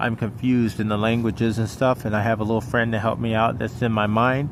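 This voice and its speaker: A man mumbles at a fairly quick pace, his medium-pitched voice monotone and flat. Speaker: vlogger. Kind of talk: personal monologue vlog. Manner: mumbling; halting.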